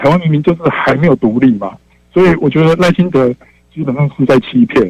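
This man has a normal speaking voice, fairly high in pitch with ordinary pitch variation. The recording sounds dry and close, with no echo. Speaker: radio call-in listener. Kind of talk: call-in opinion.

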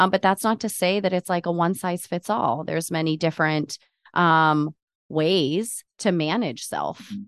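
A woman with a plain, everyday voice speaks at a fairly slow pace with ordinary pitch variation, her sound dry and close with no echo against a quiet background. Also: fairly low pitch for a woman. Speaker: podcast co-host. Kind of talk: casual interview chat.

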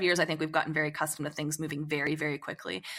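Her voice has a bright, sharp tone. The woman is recorded very cleanly against a silent background. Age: 40s. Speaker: author. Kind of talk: casual chat.

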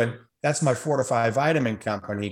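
This man has an unremarkable speaking voice with ordinary pitch variation. He talks at a moderate pace. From US South, New Orleans. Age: 60s. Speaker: optometrist and radio host. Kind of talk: interview.

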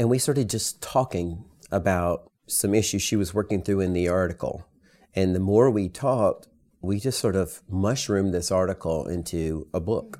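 A dark, mellow voice with a Southern US accent, captured in a very clean recording against a silent background. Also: man, fairly low pitch for a man, ordinary pitch variation, moderate pace. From US South, rural. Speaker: author and educator. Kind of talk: interview.

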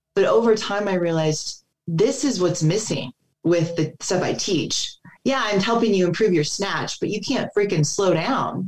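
An ordinary speaking voice, fairly slow, its pitch varying in an ordinary way. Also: woman. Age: 40s. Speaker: physical therapist and combat veteran. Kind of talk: casual chat.

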